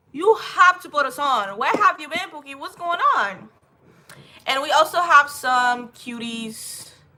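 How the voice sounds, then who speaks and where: A woman's raised, projected voice at a fairly slow pace, with very wide pitch swings. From Haiti. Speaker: livestreamer. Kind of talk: casual livestream chat.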